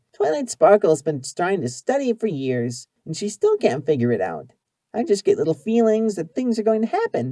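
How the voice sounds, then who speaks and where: A put-on character voice from a man, pitched high, delivered at a moderate pace. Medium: read story. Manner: energetic, fast, bubbly.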